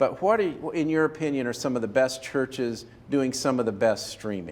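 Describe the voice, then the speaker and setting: With an unremarkable speaking voice, a man talks at a fairly quick pace with a medium pitch and lively intonation. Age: 60s. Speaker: video production consultant. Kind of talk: casual chat.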